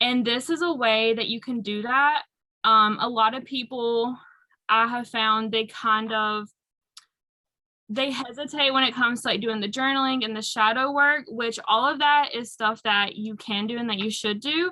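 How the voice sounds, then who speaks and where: This woman has a fairly high pitch. She speaks with a strong North Carolina accent. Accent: thick Southern US (North Carolina). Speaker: aromatherapy and self-care speaker. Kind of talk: workshop talk.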